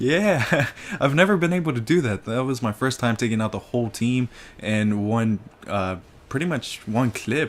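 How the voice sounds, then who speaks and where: This man has an ordinary speaking voice with a medium pitch. He talks at a moderate pace with lively intonation. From United States, Mexican-American family. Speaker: gaming commentator. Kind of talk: casual gameplay commentary. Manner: casual, storytelling with fillers.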